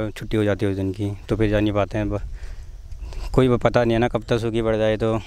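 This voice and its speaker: A man with a dark, mellow, fairly low voice speaks in a monotone, flat intonation with hardly any pauses. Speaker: college student. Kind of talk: street interview.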